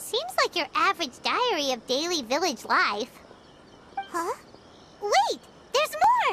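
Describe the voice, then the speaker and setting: Over clear background noise, a put-on character voice at an extremely high pitch swings very widely, moving at a fairly slow pace with long, frequent pauses. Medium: video game. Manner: chirpy, energetic.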